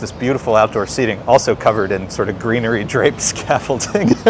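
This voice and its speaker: Speaking at a fairly quick pace, a man with an American accent has a medium pitch and fairly even intonation, with noticeable background noise. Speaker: livestream walking tour host. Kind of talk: casual walking commentary. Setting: outdoors, walking on city streets.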